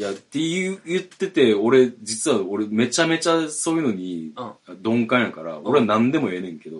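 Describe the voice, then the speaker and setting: The speech moves at a moderate pace. Both loudness and pitch swing widely, the pitch very much so. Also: man, medium pitch for a man. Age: 40s. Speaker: podcast co-host, band drummer. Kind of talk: casual chat.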